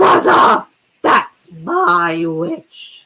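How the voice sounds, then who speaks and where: This is a put-on character voice. It sounds shrill and raspy. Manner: dismissive, shouting.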